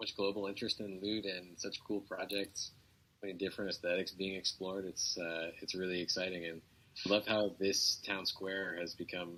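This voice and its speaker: In an enthusiastic tone, a man with a fairly low pitch speaks at a fairly quick pace. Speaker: community member in an online audio town-hall. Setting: laptop microphone, no studio equipment. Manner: enthusiastic, casual.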